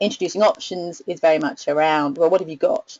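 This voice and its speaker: This woman's fairly low voice shows ordinary pitch variation as she talks at a moderate pace. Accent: British. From UK. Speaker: research analyst presenting a webinar. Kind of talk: webinar presentation. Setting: online webinar. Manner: hesitant, with many fillers and repetitions.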